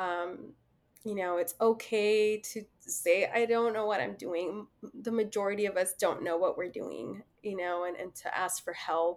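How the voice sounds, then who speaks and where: A woman has an ordinary speaking voice at a medium pitch. She talks at a fairly slow pace with ordinary pitch variation. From Mexican-American, US. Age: 30s. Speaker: social worker, mother. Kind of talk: casual interview. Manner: frequent laughter and fillers.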